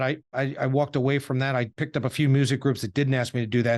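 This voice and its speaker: Over a quiet background, a man with a New York accent talks very fast in a fairly high, flat, monotone voice. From Suffolk, New York. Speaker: podcast host. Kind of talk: interview.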